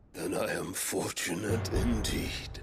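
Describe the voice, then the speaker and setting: At a fairly slow pace, a man speaks in a put-on character voice. The sound is raspy. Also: fairly low pitch for a man. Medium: machinima. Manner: grandiose, theatrical.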